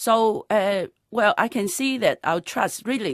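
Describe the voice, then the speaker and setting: A woman with a Cantonese accent and a fairly high pitch speaks at a very slow pace. The recording is very clean with a silent background, and the sound is dry and close with no echo. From Hong Kong. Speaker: conservation trust founder. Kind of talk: radio interview. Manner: halting, many fillers.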